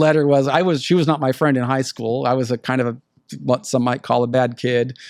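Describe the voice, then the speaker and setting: A man speaks with an American accent in a medium pitch and fairly even intonation. The background is quiet. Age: 60s. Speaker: former prisoner turned prison consultant. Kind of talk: interview. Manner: repetitive, halting.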